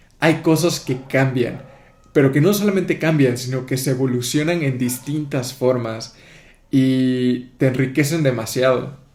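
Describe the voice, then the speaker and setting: Audible room echo surrounds a man at a medium pitch who speaks fairly slowly with ordinary pitch variation. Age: 20s. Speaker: podcast host. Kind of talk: casual podcast interview.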